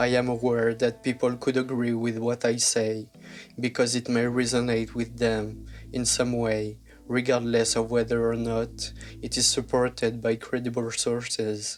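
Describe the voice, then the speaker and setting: A man at medium pitch, moderate pace and monotone, flat intonation, with music in the background. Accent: French. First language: French. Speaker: YouTube narrator. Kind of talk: scripted narration.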